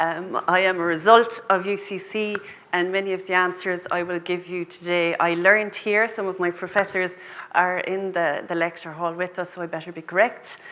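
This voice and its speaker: Over noticeable background noise, a woman with a Cork accent speaks at a moderate pace and medium pitch in a monotone, flat intonation. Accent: Cork Irish. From Ireland, Cork. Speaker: agribusiness panelist. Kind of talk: panel discussion. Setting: lecture hall panel with audience.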